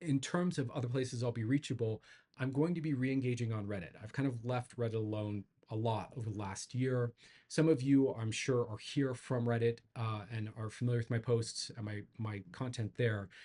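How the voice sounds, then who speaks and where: This man's voice sits at a medium pitch and has a dark, mellow tone. It is somewhat breathy, with ordinary pitch variation. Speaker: psychedelic integration coach and YouTuber. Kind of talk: casual channel update monologue. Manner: fast; halting, with filler words and repetitions.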